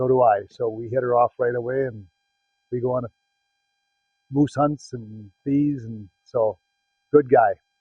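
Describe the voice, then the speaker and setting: A man with a Wisconsin accent speaks at a fairly slow pace and medium pitch, somewhat breathy, with fairly even intonation, big swings in loudness, and long, frequent pauses. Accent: Upper Midwest (Wisconsin) American. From Wisconsin, Green Bay area. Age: 60s. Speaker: hunter. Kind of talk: interview testimony. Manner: casual, halting with fillers.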